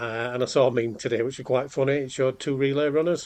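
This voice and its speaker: A man with a Yorkshire accent speaks at a medium pitch with fairly even intonation. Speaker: podcast host. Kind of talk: casual chat; scripted intro.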